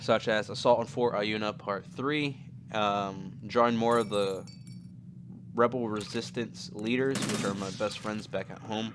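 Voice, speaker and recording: Over noticeable background noise, a man with a fairly low pitch talks at a fairly slow pace with ordinary pitch variation. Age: 20s. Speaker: YouTuber. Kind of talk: casual chat.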